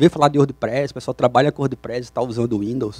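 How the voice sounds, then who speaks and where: In a Brazilian accent, a man speaks at a fairly quick pace and medium pitch. His intonation is fairly even, and the sound is dry and close with no echo. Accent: non-Curitiba Brazilian. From Brazil, not Curitiba. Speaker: software developer, conference speaker. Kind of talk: conference talk. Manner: hesitant, with repetitions and fillers.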